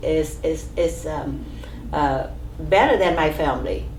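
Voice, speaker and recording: A woman with a Vietnamese accent speaks fairly slowly, with audible room echo and noticeable background noise. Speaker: immigrant pharmacist, oral history interviewee. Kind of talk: oral history interview. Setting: office. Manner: halting, many fillers.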